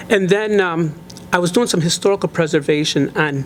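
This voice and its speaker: A man with an American accent and ordinary pitch variation, against noticeable background noise. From Chicago area, Illinois. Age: 60s. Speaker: local historian and author. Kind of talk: interview. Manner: hesitant, many fillers.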